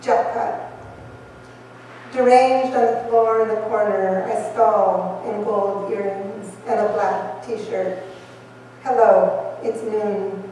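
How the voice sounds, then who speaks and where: Noticeable noise sits in the background. The woman's words come at a very slow pace. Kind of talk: poetry reading. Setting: live event in a wine bar.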